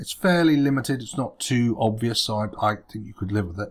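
Man with a fairly low pitch, somewhat breathy, against a quiet background. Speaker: web design tutor. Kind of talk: tutorial. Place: home room.

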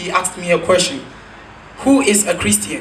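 Over light background noise, a man raises and projects his voice at a high pitch, keeping a moderate pace. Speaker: spoken word poet. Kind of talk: spoken word poem performed on stage. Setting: stage with audience. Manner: animated, rhetorical, building rhythmically with repeated questions; satirical, accusing. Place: stage.

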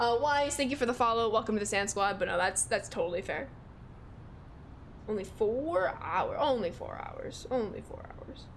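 An American accent at a moderate pace, with light background noise. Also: woman. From Chicago, US Midwest. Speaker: video game streamer. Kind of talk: live gaming stream chat. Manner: animated. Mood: upbeat, friendly. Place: home room.

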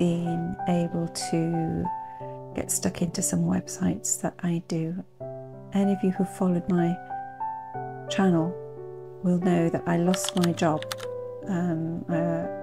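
Clear music plays behind a soft-spoken woman who talks at a very slow pace, leaving long, frequent pauses. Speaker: knitter and vlogger. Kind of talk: casual talk to camera. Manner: soft-spoken, slow. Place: home room. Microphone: phone near.

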